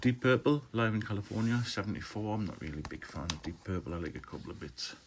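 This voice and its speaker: Talking at a very fast pace in a Geordie accent, a man uses a fairly low pitch, lively intonation and big swings in loudness. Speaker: film collector, video blogger. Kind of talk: casual haul video monologue. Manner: casual, hesitant with fillers.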